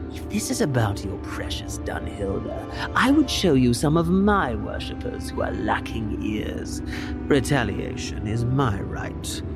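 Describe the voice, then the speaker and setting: Loud music plays behind a man doing a put-on character voice. He speaks fairly slowly at a fairly low pitch. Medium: audio drama. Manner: sneering, mocking.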